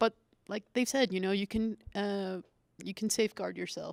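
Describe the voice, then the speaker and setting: A woman speaks at a moderate pace with a medium pitch and fairly even intonation, in a dry, close sound with no echo. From El Paso, Texas. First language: Spanish. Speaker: intelligence professional. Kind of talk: panel discussion. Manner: halting.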